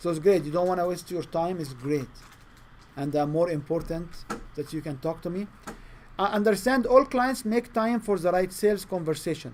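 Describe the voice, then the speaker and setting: A man with a non-native accent speaks at a moderate pace in a high voice, his intonation lively. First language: not English. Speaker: sales trainer. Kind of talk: training session. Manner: halting.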